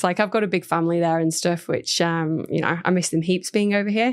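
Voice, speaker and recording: A woman speaks with a northern English accent on a very clean recording with a silent background. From northern England, near Blackpool. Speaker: food company general manager. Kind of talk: podcast interview.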